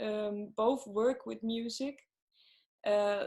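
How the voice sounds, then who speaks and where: A woman speaks in a Swedish accent. Her intonation is monotone and flat. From Sweden, Gothenburg. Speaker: singer-songwriter. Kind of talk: interview. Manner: halting, many fillers.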